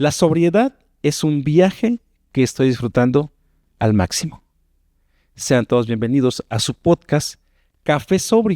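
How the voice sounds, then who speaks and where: A man with a dark, mellow tone speaks at a fairly slow pace with long, frequent pauses and very wide pitch swings. The sound is dry and close with no echo. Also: fairly high pitch for a man. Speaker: podcast host. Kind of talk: podcast intro.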